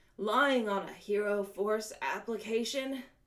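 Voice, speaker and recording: A raspy, put-on character voice from a woman, fairly high-pitched with ordinary pitch variation, at a fairly slow pace. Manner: through gritted teeth.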